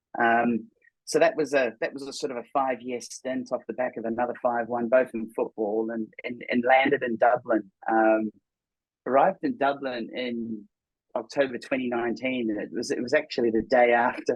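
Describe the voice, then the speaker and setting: With a New Zealand accent, a man talks at a moderate pace and medium pitch, keeping his intonation fairly even. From New Zealand, Auckland. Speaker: tech startup co-founder. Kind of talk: podcast interview. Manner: halting, many fillers and repetitions.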